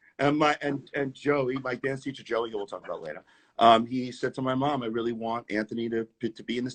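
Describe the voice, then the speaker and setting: Speaking with a New York accent, a man talks at a fairly quick pace and a medium pitch. The sound is dry and close, with no echo. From New York City (Queens). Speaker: tap dancer. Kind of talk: casual interview. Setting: live video stream.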